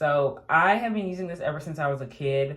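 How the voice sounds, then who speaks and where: A woman with a very deep, low pitch speaks at a fairly slow pace, somewhat breathy, with lively intonation. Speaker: beauty vlogger. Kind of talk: casual talk to camera. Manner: casual, with pauses and fillers.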